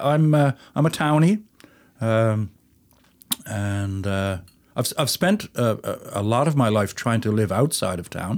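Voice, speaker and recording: A man at a fairly slow pace in a very clean recording with a silent background. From St. John's, Newfoundland, Canada. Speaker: folk musician, fiddler. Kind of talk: casual interview chat.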